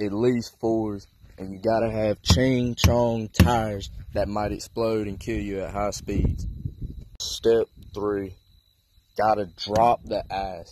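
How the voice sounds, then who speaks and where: Over noticeable background noise, a man with a fairly low pitch talks very slowly in a flat monotone, the sound dry with no echo. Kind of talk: casual comedic vlog walkaround. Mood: joking, mock-instructional. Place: street. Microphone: phone near.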